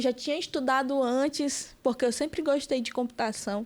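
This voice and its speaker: Recorded very cleanly against a silent background, a woman speaks at a high pitch with ordinary pitch variation. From Amazonas interior, Brazil (Benjamin Constant). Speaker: political activist, communication student. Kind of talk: podcast interview.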